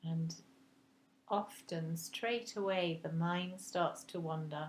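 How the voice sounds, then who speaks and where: A woman's somewhat breathy voice sits fairly low, with fairly even intonation. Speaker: meditation guide. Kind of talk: guided meditation. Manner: slow, soft-spoken.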